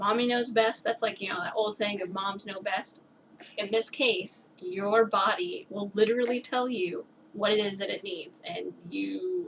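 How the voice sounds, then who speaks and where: Amid noticeable background noise, a woman with a fairly high pitch talks at a fairly slow pace with lively intonation. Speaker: young mother giving advice. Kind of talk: casual video message. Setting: at home with baby on lap. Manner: halting, thinking aloud.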